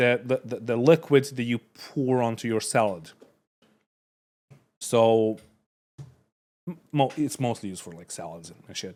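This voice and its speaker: With a non-native accent, a man at a medium pitch speaks at a fairly slow pace with long, frequent pauses, ordinary pitch variation and big swings in loudness. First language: not English. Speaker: streamer reacting to videos. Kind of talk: casual reaction commentary. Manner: halting, many fillers and restarts.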